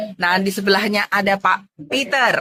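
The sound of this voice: A woman speaks at medium pitch. Her tone is bright and sharp.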